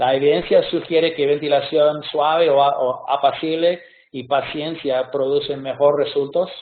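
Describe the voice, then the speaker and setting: A man with a non-native accent, fairly high pitch and fairly even intonation at a moderate pace. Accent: non-native Spanish speaker. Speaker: pediatric surgeon. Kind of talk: lecture. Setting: video call webinar. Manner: halting, many hesitations.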